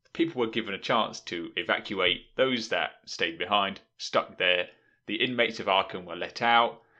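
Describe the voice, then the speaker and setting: A man with a British accent speaks at a moderate pace, his fairly low voice bright and sharp in tone. His pitch varies in an ordinary way over a quiet background. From Britain. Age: 20s. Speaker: podcast host. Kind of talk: casual chat.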